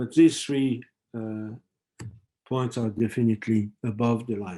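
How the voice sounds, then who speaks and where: A man with a French accent, dark, mellow tone, medium pitch, fairly even intonation and a fairly slow pace. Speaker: professor. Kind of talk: lecture. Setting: webinar. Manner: halting, many fillers.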